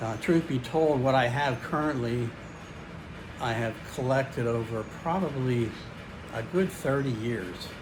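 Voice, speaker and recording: Room echo and noticeable background noise surround a man speaking at a fairly slow pace with long, frequent pauses. His pitch is medium with ordinary variation. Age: 60s. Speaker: fitness YouTuber. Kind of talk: casual vlog. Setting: home garage gym. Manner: halting, many fillers.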